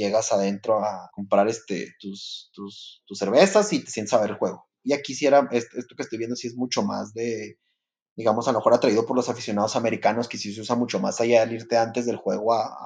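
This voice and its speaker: Talking at a fairly quick pace, a man shows ordinary pitch variation and big swings in loudness. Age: 30s. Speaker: podcast co-host. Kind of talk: casual chat. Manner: halting, many fillers.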